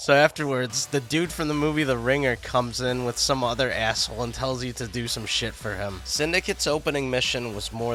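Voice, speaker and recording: With music in the background, a man speaks using ordinary pitch variation. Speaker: video game reviewer. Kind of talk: scripted video game review narration. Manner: profane, sarcastic.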